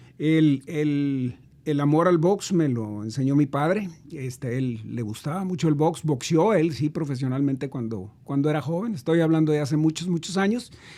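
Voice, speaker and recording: The man's voice sits fairly high and has a dark, mellow tone. He keeps a moderate pace, and his pitch varies in an ordinary way. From northern Mexico, Tijuana. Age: 60s. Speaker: businessman and civic leader. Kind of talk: interview conversation. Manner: hesitant, many fillers.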